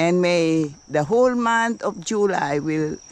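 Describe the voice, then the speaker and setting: The speech moves at a very slow pace. The sound is dry with no echo, with light background noise. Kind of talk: casual vlog chat. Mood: warm, blessing-filled. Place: garden. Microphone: phone near.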